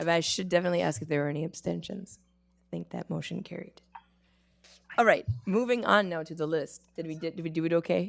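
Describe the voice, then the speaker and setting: A woman talks at a very fast pace with vocal fry. Her loudness swings widely. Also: fairly low pitch for a woman, ordinary pitch variation. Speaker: board chair. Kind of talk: formal meeting proceedings.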